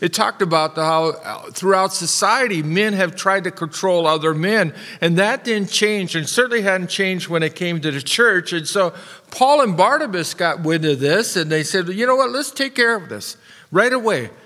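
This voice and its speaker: Against a quiet background, a man uses a raised, projected voice at a moderate pace. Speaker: preacher. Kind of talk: sermon. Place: church. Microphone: podium.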